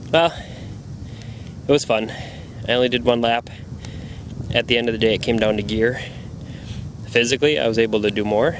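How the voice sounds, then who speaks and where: A man's medium-pitched voice at a fairly quick pace, with long, frequent pauses, ordinary pitch variation, very even loudness and noticeable background noise. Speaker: obstacle race competitor. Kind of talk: walking tour narration. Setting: outdoors. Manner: fast.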